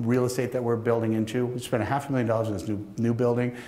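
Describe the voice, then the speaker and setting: A man's voice carries audible room echo. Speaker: keynote speaker, manufacturing company owner. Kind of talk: conference keynote talk. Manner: fast; halting, many restarts.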